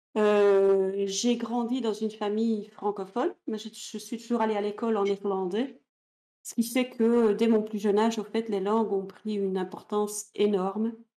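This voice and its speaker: The voice has a dark, mellow tone and moves at a fairly slow pace with monotone, flat intonation. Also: woman, fairly high pitch for a woman. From Belgium, Ghent (Flemish region), French-speaking family. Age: 50s. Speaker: author and conference interpreter. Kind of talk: interview. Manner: hesitant, many fillers.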